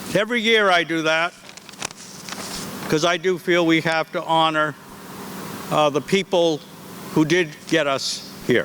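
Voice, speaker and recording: Against noticeable background noise, a man with a fairly high pitch speaks at a fairly slow pace with fairly even intonation. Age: 70s. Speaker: school head. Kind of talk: commencement speech. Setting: outdoors with audience.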